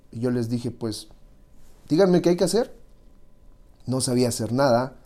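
Delivered at a moderate pace in a dark, mellow tone with ordinary pitch variation, the voice sits on a very clean recording with a silent background. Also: man. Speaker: music industry manager. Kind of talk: interview.

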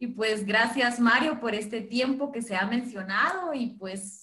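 With a Guatemalan accent, a woman speaks at a high pitch in a bright, sharp tone with lively intonation. Her pace is fairly slow, and room echo is audible. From Guatemala, Chichicastenango. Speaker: co-host. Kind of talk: live social media stream chat.

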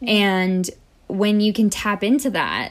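With an American accent and an animated tone, a woman speaks at a medium pitch. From United States. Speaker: professional dancer and choreographer. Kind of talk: casual chat.

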